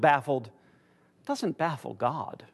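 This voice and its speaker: Someone with an American accent talks at a moderate pace against a quiet background. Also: man. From United States. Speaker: church teacher. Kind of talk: lecture.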